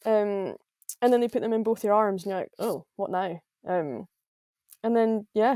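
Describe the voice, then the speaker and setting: Heard in a Scottish Highland accent, the voice has a dark, mellow tone, ordinary pitch variation, a moderate pace, and long, frequent pauses, with a dry, close sound with no echo. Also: woman, fairly high pitch for a woman. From Scotland, Highlands. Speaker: professional golfer. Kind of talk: podcast interview.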